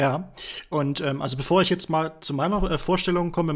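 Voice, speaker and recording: This man talks at a fairly quick pace in an ordinary speaking voice, his fairly high pitch held to fairly even intonation, on a very clean recording with a silent background. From Thuringia, Germany. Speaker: podcast host, web developer. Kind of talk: casual chat.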